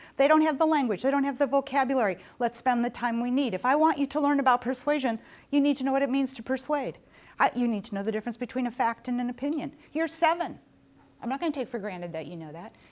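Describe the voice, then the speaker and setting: A woman's high, animated voice at a very fast pace with lively intonation, in a very clean recording with a silent background. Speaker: professor. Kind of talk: lecture.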